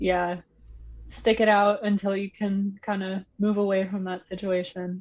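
At a moderate pace, a woman speaks in a somewhat breathy, medium-pitched voice with monotone, flat intonation. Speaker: guest co-advisor. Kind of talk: casual chat.

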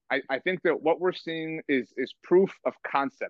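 This man has a normal speaking voice, fairly high in pitch, and talks at a moderate pace with an American accent. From US, Mexican American. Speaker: sports blog editor. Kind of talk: podcast interview.

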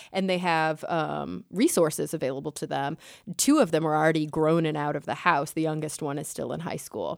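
A woman with a very deep, low pitch and an American accent, in a very clean recording with a silent background. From Texas, Dallas-Fort Worth. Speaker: science communicator. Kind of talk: casual chat.

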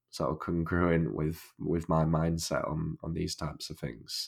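Very deep and low, a man's voice moves at a fairly slow pace with a Northern English accent. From northern England. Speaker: podcast host. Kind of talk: casual interview chat. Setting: remote call. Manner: halting, many repetitions.

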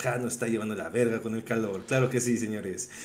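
A man with a Mexican accent speaks at a medium pitch. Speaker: podcast co-host. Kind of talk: casual chat.

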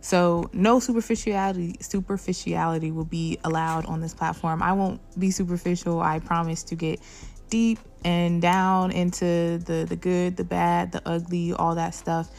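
This woman has a normal speaking voice with a fairly low pitch. She talks at a moderate pace with fairly even intonation. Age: 20s. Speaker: podcast host. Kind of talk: solo monologue.

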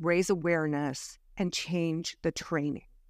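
Here is a woman with a plain, everyday voice and a fairly low pitch. The recording is very clean, with a silent background. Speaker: retired police officer. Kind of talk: interview storytelling.

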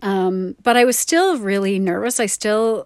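A woman speaks at a fairly slow pace with ordinary pitch variation in a very clean recording, the background silent and the sound dry and close with no echo. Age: 50s. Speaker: podcast host and artist. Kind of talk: personal monologue. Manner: hesitant, many fillers.

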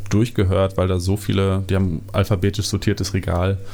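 Talking at a fairly quick pace, a man has a very deep, low pitch and monotone, flat intonation. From Germany, southern Westphalia (NRW). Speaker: keyboardist and music producer. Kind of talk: casual interview chat. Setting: in person at host's home.

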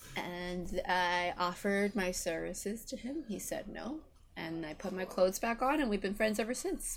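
This woman has a Canadian accent and a normal speaking voice. Her medium pitch carries lively intonation at a moderate pace. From Vancouver, Canada. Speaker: podcast guest. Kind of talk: casual chat. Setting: video call.

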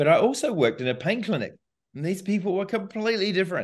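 Against a quiet background, a man speaks with a New Zealand accent. His intonation is lively. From New Zealand, small town. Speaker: physiotherapy professor and clinician. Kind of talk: interview.

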